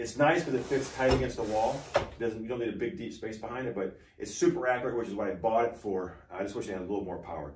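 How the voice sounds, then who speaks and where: A man's medium-pitched voice at a very fast pace with lively intonation, audible room echo and noticeable background noise. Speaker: woodworker and small business owner. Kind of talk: casual shop tour walkthrough. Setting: wood shop. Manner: casual, many fillers and restarts.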